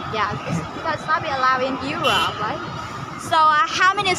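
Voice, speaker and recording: A raised, projected voice with lively intonation carries at a moderate pace over crowd noise in the background and audible room echo. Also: woman. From Vietnam. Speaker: university student. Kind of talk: street interview. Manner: halting.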